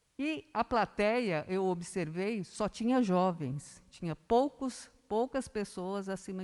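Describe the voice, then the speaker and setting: A woman's very slow speech with lively intonation against a quiet background. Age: 60s. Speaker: local government official. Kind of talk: speech at city council session.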